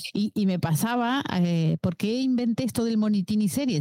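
The audio is dry and close, without any echo. A woman's voice swings very widely in pitch. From Uruguay. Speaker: lab scientist and series fan. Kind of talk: casual chat. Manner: halting, many fillers.

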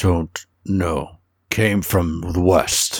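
Growling in a put-on character voice, a man speaks with a very deep, low pitch. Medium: actual play. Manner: broken, clipped speech.

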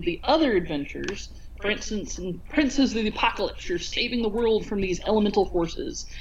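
Noticeable background noise and audible room echo fill the recording. A woman speaks at a fairly high pitch with very wide pitch swings. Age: 40s. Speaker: podcast co-host. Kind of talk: casual chat. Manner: halting.

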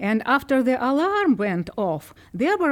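A woman with a Ukrainian accent speaks at a high pitch and a moderate pace. Her pitch swings are very wide. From Ukraine. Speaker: librarian. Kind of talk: podcast interview. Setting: studio.

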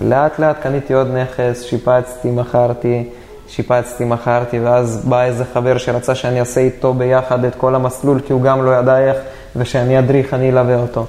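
The speaker talks at a moderate pace in a flat monotone, with noticeable background noise behind them. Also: man, medium pitch for a man. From Israel, Dimona. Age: 20s. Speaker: real estate investor. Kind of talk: interview.

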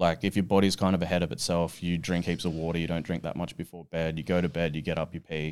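A man talks at a very fast pace with hardly any pauses, his pitch very deep and low. His intonation is monotone and flat, on a very clean recording with a silent background. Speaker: strongman athlete and coach. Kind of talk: casual chat. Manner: dry humour.

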